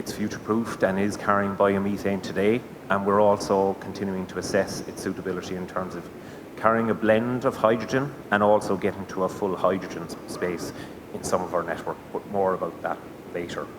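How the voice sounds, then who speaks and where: With a Cork accent, a man speaks at a fairly quick pace and with fairly even intonation. Noticeable background noise and audible room echo fill the recording. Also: fairly low pitch for a man. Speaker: gas network sales manager. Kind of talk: conference presentation.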